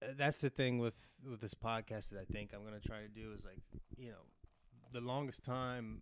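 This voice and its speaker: Long, frequent pauses break up a man's fairly quick speech. His medium pitch stays fairly even in intonation while his loudness swings widely. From West Virginia. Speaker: actor. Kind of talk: casual chat.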